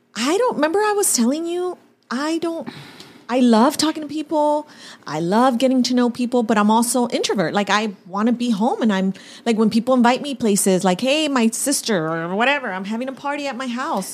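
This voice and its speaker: Against noticeable background noise, a woman with a high pitch talks at a fairly quick pace with very wide pitch swings. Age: 40s. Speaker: podcast co-host, hairdresser. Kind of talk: casual chat.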